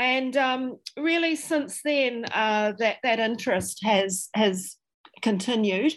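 A woman speaks very slowly with a New Zealand accent. Her fairly high pitch shows ordinary variation, and her loudness stays very even. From New Zealand, Dunedin. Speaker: historian and author. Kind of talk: interview. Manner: halting.

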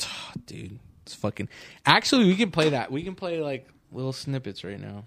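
A man with a Californian accent talks at a fairly quick pace and a fairly high pitch, using very wide pitch swings and long, frequent pauses. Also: very clean recording, silent background. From Southern California, Orange County. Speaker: podcast host. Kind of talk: casual chat.

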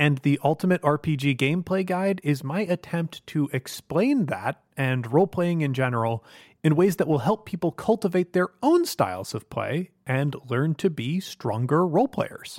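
With hardly any pauses, a man with an unremarkable speaking voice talks at a moderate pace in a fairly high pitch with lively intonation, recorded very cleanly against a silent background with a dry, close sound and no echo. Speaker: podcast host and game master. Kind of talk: tabletop roleplaying game session. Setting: studio.

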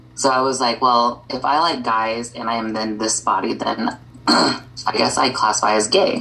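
A woman speaks in an American accent with a very deep, low pitch. Her intonation is fairly even, and background noise is noticeable. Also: moderate pace. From US Midwest. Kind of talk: casual chat.

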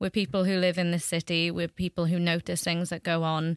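Against a silent background on a very clean recording, a woman talks at a moderate pace in an ordinary speaking voice. Her pitch is fairly low, and the sound is dry and close with no echo. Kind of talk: casual interview.

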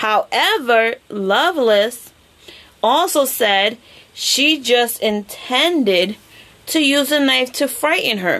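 Very slowly, a woman speaks in a high pitch with lively intonation. Her loudness stays very even. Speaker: podcast host. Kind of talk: true-crime narration, telling the case story to co-hosts in casual chat. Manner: conversational storyteller, casual with filler words and laughs.

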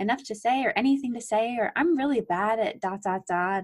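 This woman has a normal speaking voice, using lively intonation at a moderate pace. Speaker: physical therapy student podcast co-host. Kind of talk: casual chat.

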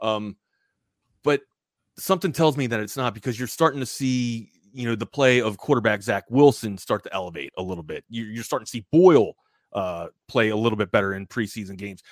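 This man has an unremarkable speaking voice at a medium pitch, talking at a fairly quick pace with lively intonation and big swings in loudness. The recording is very clean with a silent background and a dry, close sound with no echo. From Baltimore, Maryland. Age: 40s. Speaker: sports radio personality. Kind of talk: casual chat.

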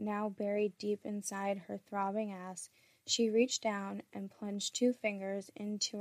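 The speaker reads aloud in a natural voice.

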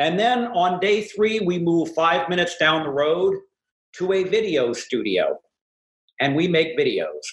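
Using a plain, everyday voice, a man with an American accent talks at a fairly slow pace with ordinary pitch variation. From US West Coast, San Francisco Bay Area. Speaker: former talk radio host, media coach. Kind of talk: casual chat. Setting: video call.

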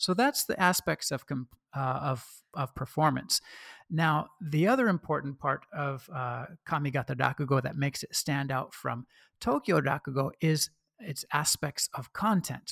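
A man with an American accent talks at a moderate pace and fairly high pitch. The recording is very clean, with a silent background and a dry, close sound with no echo. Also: ordinary pitch variation. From US Pacific Northwest (Oregon). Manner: hesitant, filler-heavy.

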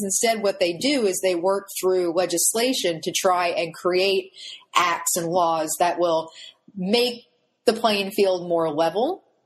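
A woman's unremarkable speaking voice, medium in pitch, with ordinary pitch variation and a fairly slow pace. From Pennsylvania. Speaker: history professor and author. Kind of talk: interview.

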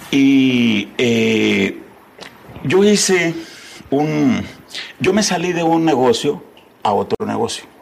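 Very slow speech with long, frequent pauses, very wide pitch swings and noticeable background noise. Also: man, fairly high pitch for a man. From Tamaulipas, northern Mexico. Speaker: entrepreneur and philanthropist. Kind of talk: interview.

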